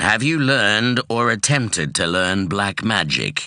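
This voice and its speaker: Over a quiet background, a man uses a put-on character voice with a fairly low pitch, lively intonation and a fairly slow pace. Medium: read story. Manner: grave, measured.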